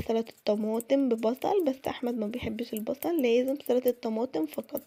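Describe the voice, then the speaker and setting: A woman with an Egyptian accent, high pitch, ordinary pitch variation, and a moderate pace. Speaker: cooking vlogger. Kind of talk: cooking tutorial. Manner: casual, chatty.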